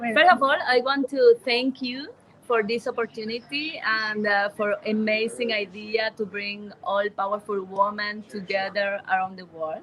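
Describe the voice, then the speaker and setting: A woman with a fairly high pitch speaks at a fairly slow pace with hardly any pauses and ordinary pitch variation. Her loudness swings widely, with noticeable background noise behind her. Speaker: charity association member. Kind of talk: interview. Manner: halting.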